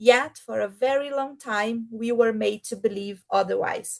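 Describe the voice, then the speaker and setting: Her voice is fairly high-pitched, with ordinary pitch variation. The woman speaks with a Portuguese accent. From Brazil. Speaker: keynote speaker, program manager. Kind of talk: keynote speech read aloud. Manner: slow.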